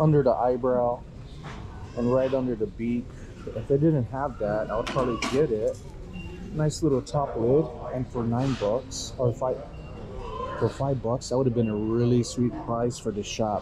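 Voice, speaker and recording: A man speaks at a moderate pace with ordinary pitch variation. Long, frequent pauses break up his speech over noticeable background noise. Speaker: reseller thrifting. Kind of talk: casual vlog chat. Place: shop. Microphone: phone near.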